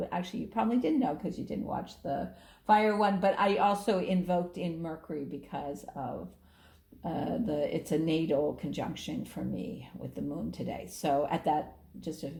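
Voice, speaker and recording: A dark, mellow voice with vocal fry and lively intonation, with audible room echo. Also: woman, fairly low pitch for a woman, moderate pace. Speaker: astrologer and tarot reader. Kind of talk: tarot reading video. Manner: animated.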